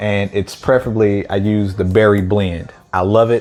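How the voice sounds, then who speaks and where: At a fairly slow pace, a man speaks in a relaxed tone with a fairly low pitch. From St. Louis, Missouri, US. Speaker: mukbang youtuber. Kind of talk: casual vlog talk to camera. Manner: relaxed, chatty with fillers.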